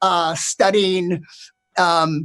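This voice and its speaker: Here a man talks at a very slow pace. His tone is bright and sharp. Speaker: stand-up comedian. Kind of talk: stand-up comedy set.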